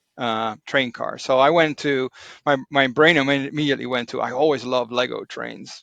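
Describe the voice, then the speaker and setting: A man with a Dutch accent, a bright, sharp tone and a medium pitch, at a moderate pace with fairly even intonation. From Netherlands. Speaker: Lego hobbyist. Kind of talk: casual chat. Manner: halting, many fillers.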